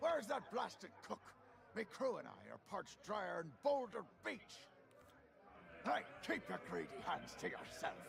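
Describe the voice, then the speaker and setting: A man in a high-pitched put-on character voice, at a moderate pace with long, frequent pauses, over clear background noise. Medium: video game. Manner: gruff, rowdy.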